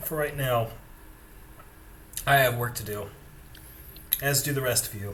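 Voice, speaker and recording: A man uses a put-on character voice, raspy and medium in pitch, with fairly even intonation at a moderate pace. He leaves long, frequent pauses over light background noise. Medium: actual play. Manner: weary, gruff.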